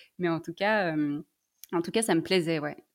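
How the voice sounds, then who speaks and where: The woman's voice sits at a fairly low pitch. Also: very clean recording, silent background. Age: 20s. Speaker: sex therapist. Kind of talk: testimony. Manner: halting, many fillers.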